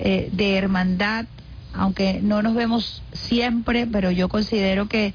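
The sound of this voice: At a slow pace, a woman speaks with fairly even intonation and a medium pitch.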